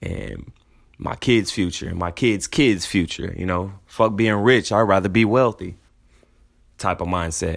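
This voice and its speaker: With ordinary pitch variation, the speech unfolds at a fairly slow pace. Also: man, fairly low pitch for a man. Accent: American. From San Antonio, Texas. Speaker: podcast host. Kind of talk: casual solo monologue. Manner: animated.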